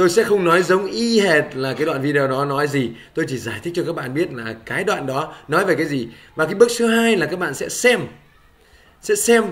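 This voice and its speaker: A man speaks with a high pitch and lively intonation. Audible room echo surrounds his voice. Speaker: English teacher. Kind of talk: tutorial.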